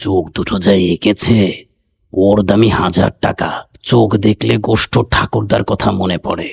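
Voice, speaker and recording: A man's put-on character voice, fairly low-pitched and fairly slow, with a dry, close sound and no echo. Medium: read story.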